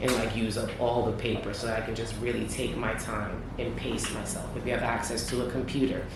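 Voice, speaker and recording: A man talks at a fairly quick pace with hardly any pauses, amid audible room echo and noticeable background noise. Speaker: judge. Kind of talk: feedback to students. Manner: fast talker.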